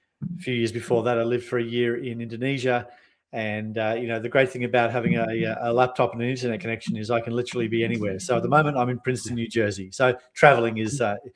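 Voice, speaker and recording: Talking at a very fast pace with hardly any pauses, a man with medium pitch and an Australian accent keeps a fairly even intonation. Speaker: sales and marketing consultant. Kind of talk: podcast interview. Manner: fast, runs sentences together; hesitant with many fillers.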